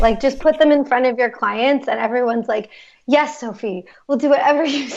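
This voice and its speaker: Ordinary pitch variation from a woman with an American accent. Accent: American, unremarkable. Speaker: marketing agency co-founder, web and brand strategist. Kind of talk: interview podcast.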